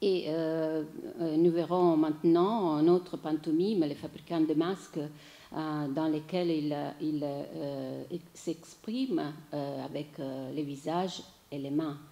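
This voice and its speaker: A woman's very deep, low voice with a dark, mellow tone and an Italian accent, very slow pace, fairly even intonation and audible room echo. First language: Italian (speaking French). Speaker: theatre writer and journalist giving a lecture. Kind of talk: lecture. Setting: lecture hall with audience. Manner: halting, many hesitations.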